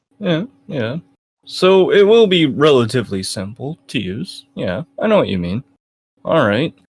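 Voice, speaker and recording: A man speaks at a fairly slow pace with a fairly high pitch. His voice makes very wide pitch swings. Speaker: interviewer, channel owner. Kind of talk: interview; casual address to viewers. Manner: stutters sometimes; frequent filler uh.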